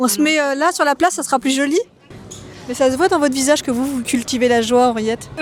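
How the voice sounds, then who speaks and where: A woman speaks at a very fast pace in a high voice with ordinary pitch variation, music playing in the background. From France (Normandy, Toulouse, Bordeaux). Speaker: photographer, vlogger. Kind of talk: street interview vlog. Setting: outdoors on a street.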